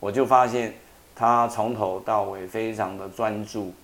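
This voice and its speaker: In a Taiwanese accent, a man speaks with a fairly low pitch and fairly even intonation. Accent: Taiwanese Mandarin. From Taiwan, Taitung. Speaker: atmospheric science professor. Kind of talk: interview about his translated book.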